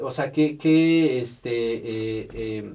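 A man with a medium-pitched, somewhat breathy voice speaks with lively intonation. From Mexico, Oaxaca. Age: 30s. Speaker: podcast host. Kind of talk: casual interview. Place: studio.

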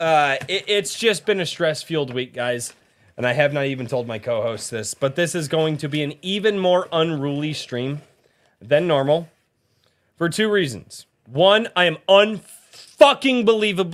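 Lively intonation and a moderate pace from a man with an American accent and fairly high pitch. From US West (Colorado). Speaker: podcast host. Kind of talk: casual chat. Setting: video call. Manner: animated. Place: home room. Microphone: studio mic.

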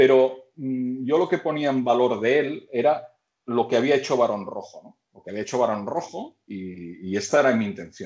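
Speaking with a Catalan accent, a man uses lively intonation and big swings in loudness over a quiet background. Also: moderate pace. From Catalonia. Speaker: band vocalist interviewed. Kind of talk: casual chat. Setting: video call. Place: home room. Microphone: video call.

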